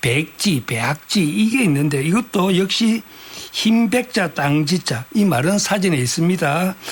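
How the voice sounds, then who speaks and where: Noticeable background noise sits under this recording. A man talks very slowly with lively intonation. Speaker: writer and dialect researcher. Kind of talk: radio interview answer.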